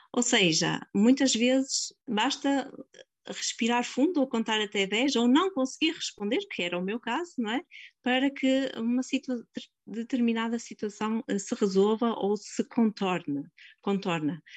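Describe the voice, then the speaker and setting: A woman's fairly high voice with lively intonation. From northern Portugal, Vila Nova de Gaia. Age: 40s. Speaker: nurse. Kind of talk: interview. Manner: halting.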